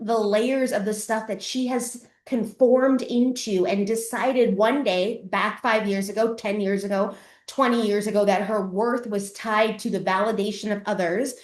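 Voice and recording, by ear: With audible room echo, a woman speaks at a fairly slow pace and medium pitch with ordinary pitch variation.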